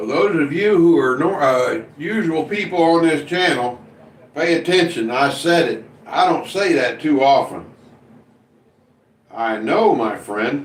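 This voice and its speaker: A fairly high-pitched man in an American accent, lively intonation, a fairly slow pace with long, frequent pauses, and audible room echo. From US Midwest (Indiana). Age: 60s. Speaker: live streamer. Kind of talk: casual chat. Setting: live stream reading chat.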